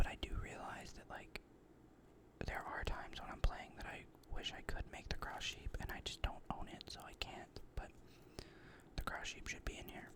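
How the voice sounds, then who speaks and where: A man whispers over noticeable background noise. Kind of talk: ASMR card game deck discussion. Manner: whispered, rambling.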